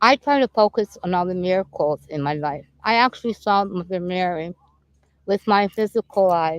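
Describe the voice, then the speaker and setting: In a dry, close recording with no echo, a woman with a normal speaking voice talks at a moderate pace and medium pitch with ordinary pitch variation. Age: 60s. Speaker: spiritual healer and painter. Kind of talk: casual interview chat. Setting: outdoors in a park.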